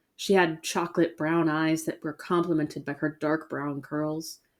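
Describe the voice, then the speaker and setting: A woman at a moderate pace, an unremarkable speaking voice, on a very clean recording with a silent background. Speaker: horror story narrator. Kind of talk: horror story narration.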